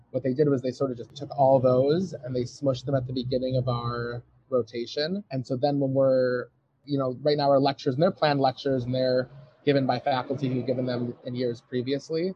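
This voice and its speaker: A man with an American accent speaks in an ordinary speaking voice at medium pitch, fairly quick in pace and with fairly even intonation. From US Midwest, suburban Detroit, Michigan. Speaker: medical student. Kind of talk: interview. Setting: outdoors on a patio.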